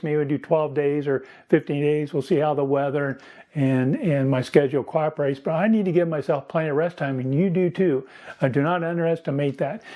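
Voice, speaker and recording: Over a quiet background, a man speaks with a fairly high pitch and a dark, mellow tone. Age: 60s. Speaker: running channel host, retired runner. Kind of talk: tutorial. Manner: casual, frequent fillers.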